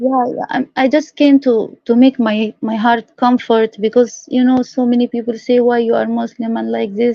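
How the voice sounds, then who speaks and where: With an Arabic accent, the voice has a dark, mellow tone and monotone, flat intonation. It moves at a moderate pace with hardly any pauses, in a dry, close sound with no echo. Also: woman, high pitch for a woman. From Egypt. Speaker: caller. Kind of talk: heated debate. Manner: halting.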